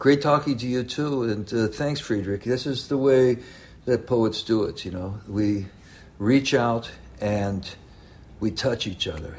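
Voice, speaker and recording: Somewhat breathy, a man with an American accent talks at a fairly slow pace, using a medium pitch and ordinary pitch variation. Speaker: slam poet. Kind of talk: casual chat. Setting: video call.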